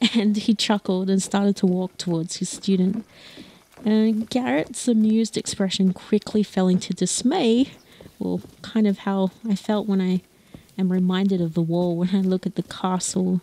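Recorded with a dry, close sound and no echo, an unremarkable speaking voice goes at a moderate pace with fairly even intonation. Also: woman, medium pitch for a woman. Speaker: storyteller and horseback tour guide. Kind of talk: storytelling in a fantasy world, casual riding chat mixed with dramatic narration. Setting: outdoors on horseback. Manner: warm, gentle, wistful.

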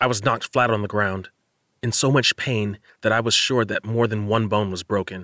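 Quiet background behind a natural reading voice

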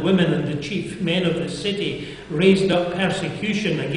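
Fairly even intonation shapes an unforced reading voice.

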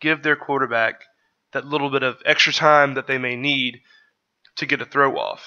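A man's fairly high voice with monotone, flat intonation. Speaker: sports podcaster, draft analyst. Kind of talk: solo video commentary breaking down game footage. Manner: casual, somewhat halting with fillers and repeats.

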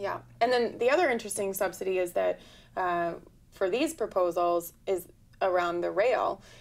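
Speaking with an American accent, a woman moves at a moderate pace with ordinary pitch variation. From Oregon. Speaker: environmental lawyer and activist; environmental lawyer. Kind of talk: talk show interview. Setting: studio. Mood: earnest, concerned. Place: studio.

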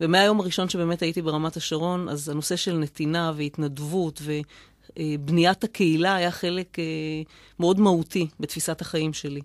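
A woman talks at a moderate pace with a fairly low pitch and fairly even intonation. The sound is dry with no echo over a quiet background. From Israel, Rishon LeZion; Israel. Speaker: mayor; city mayor, radio guest. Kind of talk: radio interview; interview answer. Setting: studio. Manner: halting. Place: studio.

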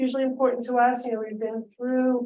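With an American accent, a woman speaks in a high pitch with a dark, mellow tone and monotone, flat intonation. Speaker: state legislator. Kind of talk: public meeting update. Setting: video call. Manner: halting, many fillers.

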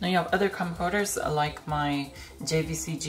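Faint music sits in the background as a woman speaks at a moderate pace with ordinary pitch variation. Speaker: retro tech video host. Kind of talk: casual product show-and-tell. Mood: excited, slightly nervous. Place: home room.

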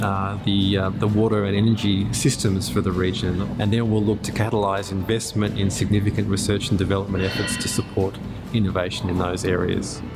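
This man speaks at a fairly quick pace. There is noticeable background noise behind him. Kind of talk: interview answer. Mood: calm, positive. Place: workshop.

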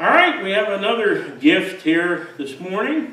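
A man's very slow speech with very wide pitch swings and audible room echo. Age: 60s. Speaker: pastor. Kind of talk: sermon; church announcement. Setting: church. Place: church. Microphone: camera far.

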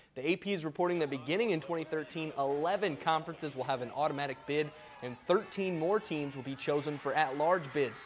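Fairly high in pitch, a man speaks with ordinary pitch variation. His pace is fairly quick. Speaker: sports reporter and anchor. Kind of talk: TV sports package and anchor delivery. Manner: conversational, brisk. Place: studio.

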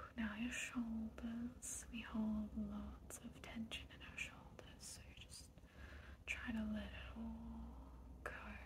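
A woman speaks at a very slow pace, her loudness swinging widely, with noticeable background noise. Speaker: ASMR creator / relaxation guide. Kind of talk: guided relaxation ASMR. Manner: soothing, calm, slow. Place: home room.

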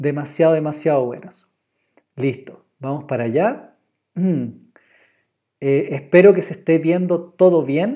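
Against a quiet background, a man with a fairly high pitch and ordinary pitch variation speaks at a fairly slow pace with long, frequent pauses. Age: 30s. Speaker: drawing teacher. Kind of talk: online class. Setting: live stream. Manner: animated. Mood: warm, encouraging. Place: home room. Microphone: earbuds.

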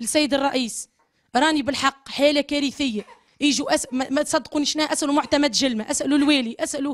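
A woman's high voice at a moderate pace, with very even loudness, fairly even intonation and a quiet background. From Tunisia. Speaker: mother of a sick baby. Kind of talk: testimony. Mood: distressed, pleading. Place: home room. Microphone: handheld.

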